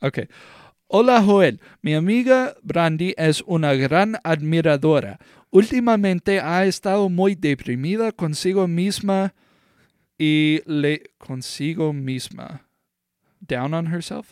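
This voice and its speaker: In a very clean, dry, close recording with a silent background and no echo, a man speaks at a fairly slow pace with a high pitch and lively intonation. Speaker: podcast co-host. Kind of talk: casual banter. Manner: joking, laughs a lot, crude humor.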